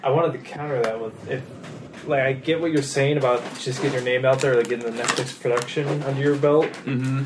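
Over noticeable background noise, a man with an American accent talks at a fairly quick pace with hardly any pauses and a monotone, flat intonation. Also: medium pitch for a man. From Lincoln, California. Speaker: podcast co-host. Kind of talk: casual chat.

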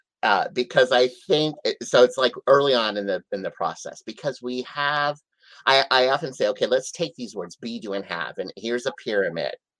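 Over a quiet background, a man with an ordinary speaking voice and a medium pitch uses lively intonation, the sound dry and close with no echo. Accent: American. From US Midwest, South Dakota. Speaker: life coach. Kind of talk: interview.

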